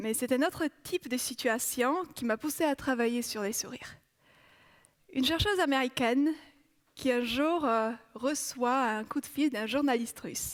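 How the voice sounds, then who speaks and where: A woman's high-pitched voice, ordinary pitch variation, and long, frequent pauses. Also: fairly slow pace. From Poland. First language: Polish (speaking French). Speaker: psychology researcher. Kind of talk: TEDx talk.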